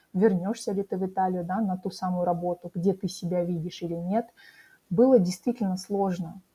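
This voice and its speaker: A woman's voice has a medium pitch, a dark, mellow tone, some breathiness, and ordinary pitch variation. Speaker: career coach. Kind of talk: interview. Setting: studio.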